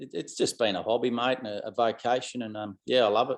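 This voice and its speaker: Speaking with an Australian accent, a man keeps a medium pitch and a fairly even intonation. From outback Queensland, Australia. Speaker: country musician. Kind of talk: interview. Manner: halting, many fillers.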